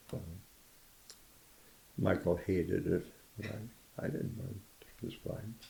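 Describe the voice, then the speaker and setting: A man's fairly low, somewhat breathy voice, dark and mellow in tone, at a very slow pace with long, frequent pauses. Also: ordinary pitch variation. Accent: American. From County Kerry, Ireland. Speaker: Korean War veteran. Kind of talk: oral history interview answer. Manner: casual, reminiscing.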